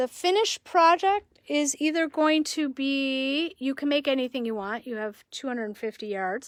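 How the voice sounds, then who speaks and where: A woman's high-pitched voice with lively intonation and hardly any pauses, dry and close with no echo, on a very clean recording against a silent background. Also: moderate pace. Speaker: yarn shop owner. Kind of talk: live stream sales presentation.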